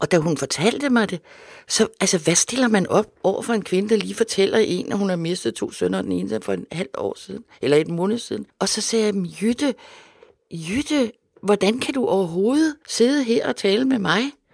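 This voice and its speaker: Her intonation lively, a woman with a medium pitch and vocal fry talks at a moderate pace. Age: 70s. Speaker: journalist and author. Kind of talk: casual chat.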